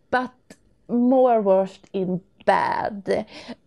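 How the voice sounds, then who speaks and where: A woman is speaking. She has a Swedish accent. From Sweden. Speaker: listener. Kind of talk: recorded voice message. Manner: halting.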